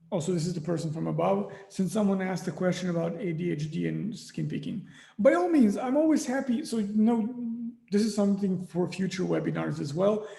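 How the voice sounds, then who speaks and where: Over audible room echo, a man talks at a fairly quick pace in a high pitch. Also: ordinary pitch variation. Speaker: psychologist. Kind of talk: webinar Q&A. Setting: online webinar.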